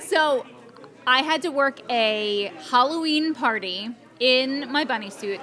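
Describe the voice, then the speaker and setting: In an American accent, a woman projects a raised, high-pitched voice with lively intonation over noticeable background noise. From Atlantic City, New Jersey. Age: 40s. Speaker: former model. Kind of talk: casual chat. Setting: fan convention.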